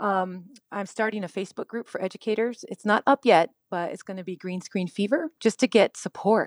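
A woman at medium pitch speaks at a fairly quick pace with hardly any pauses. Her loudness swings widely, her pitch varies an ordinary amount, and the sound is dry and close with no echo. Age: 50s. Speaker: middle school teacher. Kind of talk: interview. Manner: animated.

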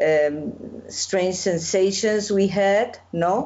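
A woman with a Spanish accent speaks very slowly at a medium pitch, her pitch varying in an ordinary way. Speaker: festival interviewer. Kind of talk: interview conversation. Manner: halting.

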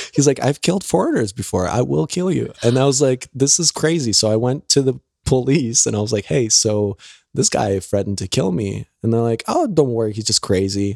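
A man in a normal speaking voice, medium in pitch, talks at a fairly quick pace on a very clean recording with a silent background and a dry, close sound with no echo. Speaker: stand-up comedian, former engineer. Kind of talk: casual interview.

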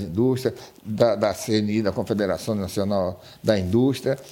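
In a normal speaking voice, the speaker talks at a fairly slow pace. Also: man. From Brazil, rural Paraíba (Northeast). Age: 60s. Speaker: business owner. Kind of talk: interview.

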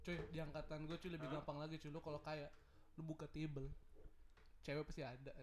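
A man speaks very fast in a fairly high voice, with flat, monotone intonation. His delivery breaks up with long, frequent pauses. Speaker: podcast co-host. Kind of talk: casual chat.

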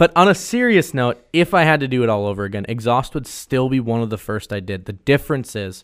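With an American accent, a man talks at a very fast pace in a medium pitch with lively intonation, in a very clean recording with a silent background. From Wisconsin. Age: 20s. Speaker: podcast host. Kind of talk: casual chat. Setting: studio.

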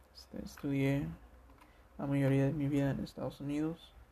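Somewhat breathy delivery with a dark, mellow tone at a moderate pace. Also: man. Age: 20s. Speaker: student sharing his life story. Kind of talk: personal testimony. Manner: hesitant, many fillers.

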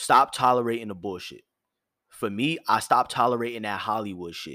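This very clean recording has a silent background. A man speaks at a medium pitch and a fairly quick pace. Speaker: podcast host. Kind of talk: solo monologue podcast. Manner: firm yet soft tone; casual with filler words.

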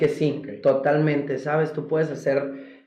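A man's fairly high voice carries audible echo from the room. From Golfo de Santa Clara, Sonora, Mexico. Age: 20s. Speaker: contemporary dancer. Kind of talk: interview conversation. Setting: studio with video cameras.

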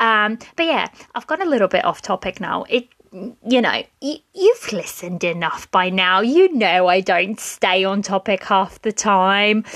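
With a dry, close sound and no echo, a woman speaks at a fairly high pitch, a moderate pace and with lively intonation. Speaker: podcast host. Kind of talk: casual solo podcast monologue. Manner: casual, hesitant with fillers.

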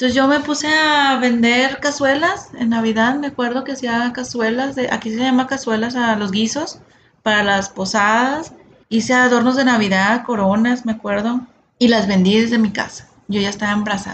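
A woman talks with a northern Mexican accent at a high pitch. Her pace is moderate, with ordinary pitch variation. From Monterrey, Mexico. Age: 40s. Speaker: podcast host, sales and customer service entrepreneur. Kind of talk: solo podcast monologue.

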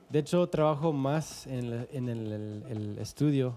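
With music in the background, a man with a Canadian accent speaks very slowly at a medium pitch, his pitch varying in an ordinary way. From Calgary, Canada. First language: English (speaking Spanish). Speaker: musician and producer. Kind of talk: casual interview. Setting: studio. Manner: formal.

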